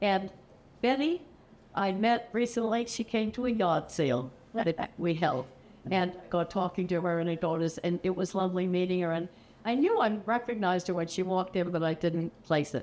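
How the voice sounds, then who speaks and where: A woman's medium-pitched voice at a moderate pace, with lively intonation and very even loudness, amid noticeable background noise. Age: 80s+. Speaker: poetry reader at senior center. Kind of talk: casual remarks before a reading aloud. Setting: senior center audience. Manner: halting.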